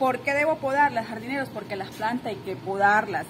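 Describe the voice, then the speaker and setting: Noticeable background noise accompanies a woman speaking at a moderate pace with ordinary pitch variation. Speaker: gardening vlogger. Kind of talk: casual vlog chat. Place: garden. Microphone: phone near.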